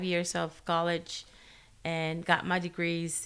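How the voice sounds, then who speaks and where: A woman with a Spanish accent. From Guatemala. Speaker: special education teacher. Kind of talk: casual interview chat. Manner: halting, many fillers.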